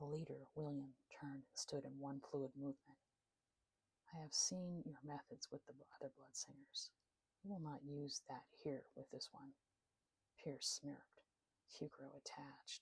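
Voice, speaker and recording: A woman whispers at a fairly slow pace, sounding somewhat breathy. Her pauses are long and frequent. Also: dry, close sound with no echo. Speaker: author narrating own novel. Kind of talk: sleep story. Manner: whispered.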